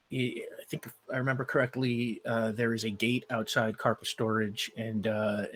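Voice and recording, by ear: Intonation stays fairly even in this reading aloud in a natural voice.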